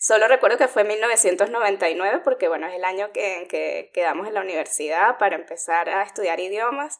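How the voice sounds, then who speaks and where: This woman has an unremarkable speaking voice, medium in pitch with ordinary variation, moving at a moderate pace with hardly any pauses. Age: 40s. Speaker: podcast co-host. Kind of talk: casual chat.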